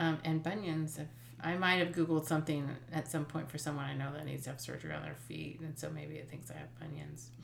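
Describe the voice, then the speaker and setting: A woman with a very deep, low voice talks at a very fast pace, her intonation fairly even but her loudness swinging widely, with audible echo from the room. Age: 50s. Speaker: podcast co-host, mother. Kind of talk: casual chat.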